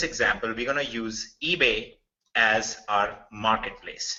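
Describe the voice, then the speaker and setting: A man is speaking. He has a strong Indian accent. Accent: thick Indian. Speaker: software developer presenting a business opportunity. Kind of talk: webinar sales presentation. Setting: online webinar. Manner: casual, conversational with fillers.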